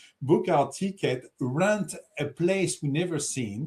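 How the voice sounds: At a slow pace, a man with a French accent speaks in a fairly high pitch with lively intonation. His tone is slightly mellow with a slightly husky edge.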